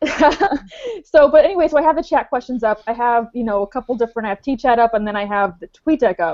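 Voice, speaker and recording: A woman's high-pitched voice rushes along at a very fast pace. Her intonation is lively. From Romania. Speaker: social media marketer. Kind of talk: panel discussion.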